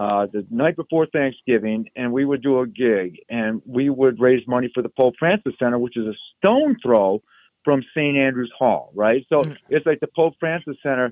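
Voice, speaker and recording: Using an unremarkable speaking voice, a man with an American accent talks at a moderate pace and medium pitch with ordinary pitch variation. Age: 60s. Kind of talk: casual interview.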